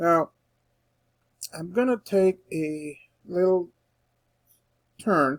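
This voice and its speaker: Very slowly, a man speaks with ordinary pitch variation in a dry, close sound with no echo. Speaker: instructor. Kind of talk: tutorial. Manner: casual, with fillers and restarts.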